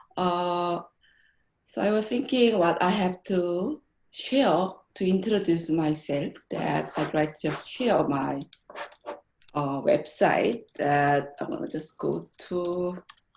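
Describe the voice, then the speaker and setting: A woman speaks very slowly at a fairly low pitch, her intonation lively. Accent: Korean. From South Korea. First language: Korean. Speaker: graphic design professor. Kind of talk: conference presentation.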